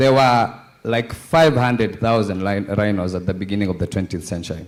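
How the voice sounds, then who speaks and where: A man with a Kenyan accent speaks at a moderate pace. His medium-pitched voice has lively intonation. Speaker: conference panelist. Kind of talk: panel discussion.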